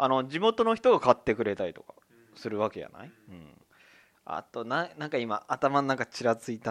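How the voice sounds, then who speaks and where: A man at a moderate pace, recorded dry and close with no echo. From Tokyo, Higashimurayama. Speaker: podcast co-host. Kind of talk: casual chat.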